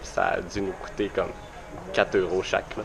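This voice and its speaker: A man with a Quebec accent speaks at a fairly quick pace. Music plays in the background. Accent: Québécois. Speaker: vlogger. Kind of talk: travel vlog. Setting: outdoors at a bus stop. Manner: hesitant with many fillers.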